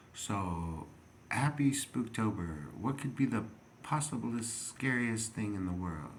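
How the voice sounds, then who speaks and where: Very slow and with lively intonation, a man speaks at medium pitch amid audible room echo. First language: not English. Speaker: video blogger. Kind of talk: rambling monologue. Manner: halting, many fillers.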